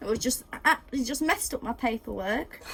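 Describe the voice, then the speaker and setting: A woman's high-pitched voice with an English accent, ordinary pitch variation and noticeable background noise. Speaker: baking video host. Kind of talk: casual cooking tutorial. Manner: fast.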